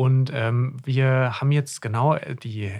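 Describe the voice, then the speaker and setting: A man with a somewhat breathy, medium-pitched voice is heard on a very clean recording with a silent background. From Germany, Hesse. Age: 30s. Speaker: podcast co-host, doctor in GP training. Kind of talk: casual chat. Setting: studio.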